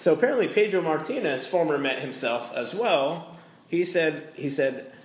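In a room with audible echo, a man speaks at a moderate pace. His pitch swings very widely. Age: 30s. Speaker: sports podcast host. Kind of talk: casual chat.

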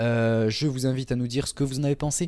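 A man's dark, mellow voice at a moderate pace, on a very clean recording with a silent background. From southern France, Toulouse. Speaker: podcast host, wrestling fan. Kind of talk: casual chat.

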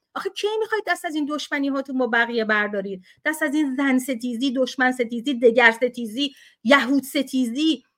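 Her voice is high and animated, with ordinary pitch variation. The woman keeps a fairly quick pace. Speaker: activist. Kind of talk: heated debate. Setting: video call.

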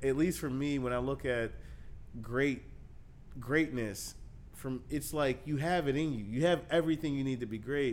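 Speaking at a moderate pace, a man has an unremarkable speaking voice of medium pitch. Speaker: podcast host. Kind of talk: interview.

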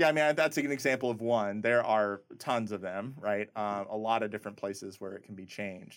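An unremarkable speaking voice from a man with an American accent, fairly low in pitch, fairly quick with hardly any pauses, ordinary pitch variation and big swings in loudness, in a very clean recording over a silent background. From US Midwest, rural Nebraska. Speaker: biomedical engineering professor. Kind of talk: interview.

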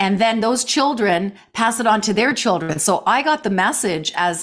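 A woman speaks in a normal speaking voice. Her intonation is lively and her pace moderate. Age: 60s. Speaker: life coach and jazz singer. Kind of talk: interview conversation.

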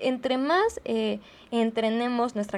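Speaking with a Mexican accent, a woman has a fairly high pitch. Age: 20s. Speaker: podcast host, philosophy student. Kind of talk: casual monologue. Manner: conversational, with frequent fillers.

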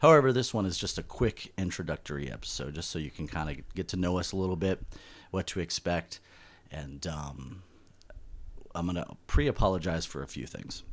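A man with an American accent talks fairly quickly in a very deep, low voice, using lively intonation and vocal fry. The recording is very clean, with a silent background. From Southern California. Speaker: podcast host. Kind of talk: casual chat. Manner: talkative, jokey.

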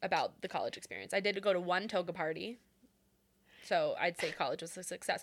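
A woman at a fairly quick pace with a Pacific Northwest accent, in a very clean recording with a silent background. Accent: Pacific Northwest American. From Renton, Washington State. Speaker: podcast co-host. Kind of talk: casual chat.

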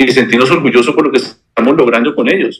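With a bright, sharp tone, this man's voice sits at a medium pitch. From Colombia, Bogotá. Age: 40s. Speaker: bank executive. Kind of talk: interview.

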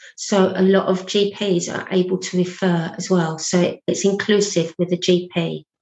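With a British accent, a woman with a medium pitch speaks at a fairly slow pace in a monotone, flat intonation. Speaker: abuse recovery practitioner and speaker. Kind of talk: interview testimony.

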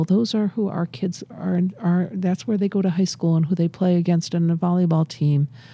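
In an American accent, a woman talks at a moderate pace with a fairly low, somewhat breathy voice, a dark, mellow tone, fairly even intonation, and a dry, close sound with no echo. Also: hardly any pauses. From Massachusetts. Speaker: addiction medicine physician. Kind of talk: interview. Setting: studio.

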